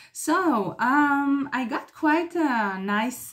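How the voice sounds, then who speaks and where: With a non-native accent, a woman speaks in a lively intonation. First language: not English. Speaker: psychotherapist YouTuber. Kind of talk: talking-head video monologue. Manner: halting, many fillers.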